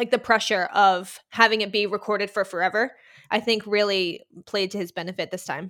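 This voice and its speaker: A woman with an American accent speaks at a fairly quick pace and medium pitch, her tone bright, sharp and animated. The recording is very clean, with a silent background. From Boston, US. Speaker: music writer and Paramore fan. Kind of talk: casual chat. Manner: animated, excitable.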